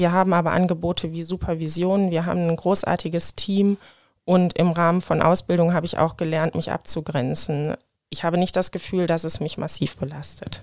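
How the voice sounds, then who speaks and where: Her voice is fairly low for a woman, delivered at a fairly quick pace with monotone, flat intonation in a very clean recording against a silent background. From Germany, Rhineland-Palatinate (Hahn). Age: 30s. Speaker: AIDS counselor and nurse. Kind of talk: interview.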